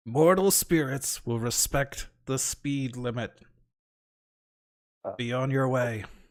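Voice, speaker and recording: A man puts on a raspy character voice at a medium pitch, speaking at a fairly slow pace with long, frequent pauses. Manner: commanding, authoritative.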